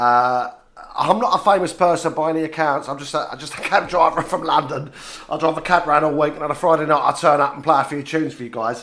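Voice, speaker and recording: Very fast and animated, with a playful tone and big swings in loudness, the speech comes over noticeable background noise. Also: man, fairly high pitch for a man. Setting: radio studio.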